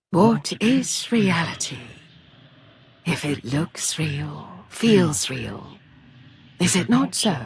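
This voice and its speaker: A put-on character voice at middle pitch, very slow, with long, frequent pauses. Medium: read story. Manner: seductive, languid.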